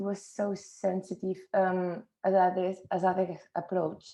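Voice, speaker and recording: A dark, mellow tone with a non-native accent. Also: woman. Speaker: illustrator. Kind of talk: book launch talk. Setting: video call. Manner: halting.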